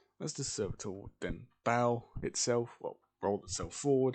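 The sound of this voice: The reading voice is unforced, with ordinary pitch variation. Nothing much sounds behind it.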